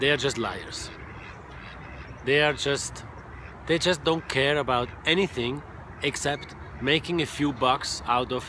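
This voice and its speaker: A man at medium pitch with ordinary pitch variation, talking at a moderate pace amid noticeable background noise. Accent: Swiss German. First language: Swiss German. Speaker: online marketing coach, former truck driver. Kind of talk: casual direct-to-camera monologue.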